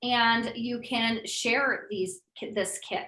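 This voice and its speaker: The woman speaks at a fairly high pitch. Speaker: essential oils educator and seller. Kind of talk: live online class. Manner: fast; casual, conversational.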